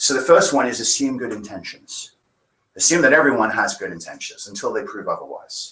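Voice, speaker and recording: A man with an English accent speaks with big swings in loudness. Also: fairly quick pace. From England. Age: 40s. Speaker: minister. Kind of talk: sermon.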